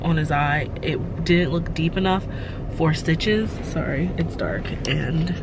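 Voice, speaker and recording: Over noticeable background noise, a woman with a fairly low pitch speaks at a moderate pace in a dry sound with no echo. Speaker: parent vlogger. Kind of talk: casual vlog chat. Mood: calm, relieved update. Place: car. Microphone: phone near.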